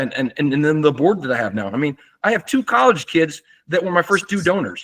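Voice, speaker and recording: Very fast speech with vocal fry and very wide pitch swings comes through a dry, close sound with no echo. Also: man, fairly high pitch for a man. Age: 60s. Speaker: nonprofit foundation founder. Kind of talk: casual conversation.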